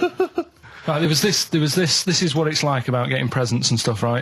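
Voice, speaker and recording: A man speaks at a fairly quick pace with hardly any pauses and very even loudness, over noticeable background noise. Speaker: radio show regular. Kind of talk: radio show banter, telling anecdotes.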